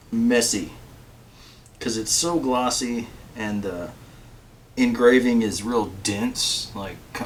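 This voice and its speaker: This man's voice sits at a medium pitch with ordinary pitch variation. Audible room echo surrounds it. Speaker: guitar builder and video host. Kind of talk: casual tutorial chat to camera.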